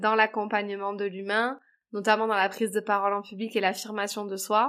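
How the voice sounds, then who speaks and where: A woman talks at a moderate pace in a fairly high voice. The recording is very clean with a silent background. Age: 30s. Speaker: public speaking coach. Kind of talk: interview. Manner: hesitant, many fillers.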